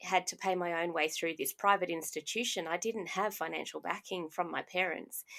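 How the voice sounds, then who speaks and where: With an Australian accent, a woman speaks at a moderate pace and medium pitch, her intonation fairly even, on a very clean recording with a silent background. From Australia (Brisbane area). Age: 40s. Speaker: podcast host and life coach. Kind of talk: personal monologue podcast.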